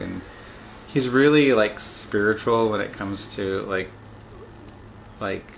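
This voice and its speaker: Here a man speaks at a very slow pace. His pitch is fairly low, with ordinary variation. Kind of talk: casual video diary talk to camera. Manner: hesitant, many filler words.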